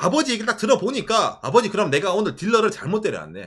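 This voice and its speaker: Very fast and animated, a man's high, bright, sharp voice leaps through very wide pitch swings. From South Korea, Ulsan (Gyeongsang). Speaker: YouTuber. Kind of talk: casual chat. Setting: live stream.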